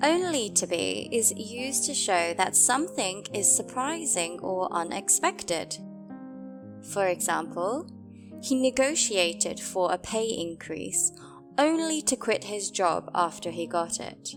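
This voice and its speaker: Someone talks at a fairly slow pace with a British accent. Music plays in the background. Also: woman. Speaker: English teacher. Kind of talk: English lesson explanation. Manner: slow, clear repetition of examples.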